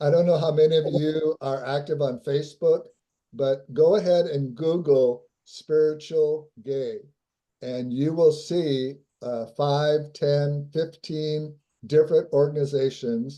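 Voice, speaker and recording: A man talks at a fairly slow pace with fairly even intonation. His fairly high voice has a dark, mellow tone. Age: 70s. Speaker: interview guest on spirituality. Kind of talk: interview conversation.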